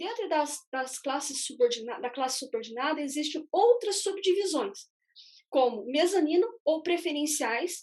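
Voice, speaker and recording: This woman speaks with a high pitch. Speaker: economist presenting investment fund analysis. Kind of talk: live webinar explanation. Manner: halting, with many fillers.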